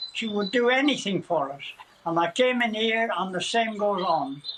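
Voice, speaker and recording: Noticeable background noise sits behind the voice. A man speaks with a high pitch. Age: 90s. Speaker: war veteran. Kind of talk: TV interview.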